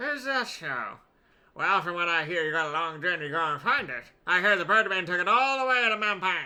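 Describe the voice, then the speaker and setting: Putting on a character voice, a man talks at a fairly quick pace in a gravelly, high-pitched voice with lively intonation. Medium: game stream. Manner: thick, hard to understand.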